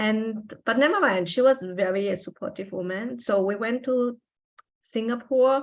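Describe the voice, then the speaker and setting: A woman with a German accent, fairly high in pitch, at a moderate pace with ordinary pitch variation. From Austria. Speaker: trailing spouse, former journalist. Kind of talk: interview. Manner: halting.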